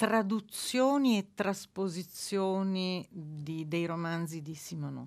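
A woman's fairly low voice, an ordinary speaking voice with ordinary pitch variation. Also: quiet background. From Naples, southern Italy. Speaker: book editor and translation reviser. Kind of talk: radio interview. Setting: radio studio.

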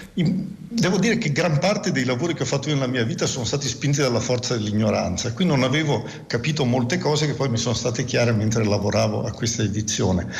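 A man at medium pitch with lively intonation, very even loudness and a very fast pace, amid noticeable background noise. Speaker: physics professor. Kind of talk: radio interview.

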